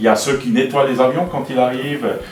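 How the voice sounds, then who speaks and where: Ordinary pitch variation from a male speaker, plus audible room echo and noticeable background noise. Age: 60s. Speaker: airport director. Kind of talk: interview answering children's questions. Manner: hesitant, with fillers and repetitions.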